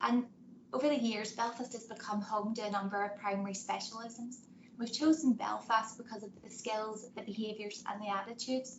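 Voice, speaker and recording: A woman's somewhat breathy, fairly high voice at a fairly quick pace. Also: fairly even intonation. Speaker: banking executive. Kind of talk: webinar presentation.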